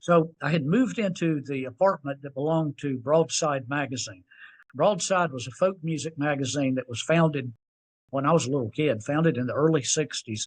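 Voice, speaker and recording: Against a quiet background, a man with an American accent and a fairly high pitch speaks at a fairly quick pace with ordinary pitch variation. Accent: Southern US, milder than in youth. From US South (Tennessee, North Carolina). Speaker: singer-songwriter. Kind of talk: interview storytelling. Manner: conversational.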